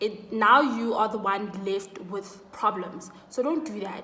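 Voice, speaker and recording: A woman with a Zulu accent speaks in a fairly high voice with ordinary pitch variation. Audible room echo and noticeable background noise are present. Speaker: student YouTuber. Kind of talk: casual vlog advice.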